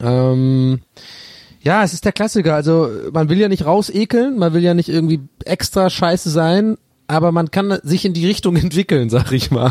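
A man with a high voice speaks at a moderate pace and with lively intonation. The recording is very clean with a silent background and a dry, close sound without echo, and his loudness stays very even. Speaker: podcast co-host answering listener questions. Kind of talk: casual comedic chat. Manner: slightly lethargic.

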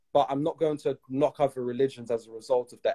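Lively intonation and a moderate pace mark this man's dark, mellow tone. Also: dry, close sound with no echo. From UK. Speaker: podcast host. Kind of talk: interview conversation. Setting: Instagram Live.

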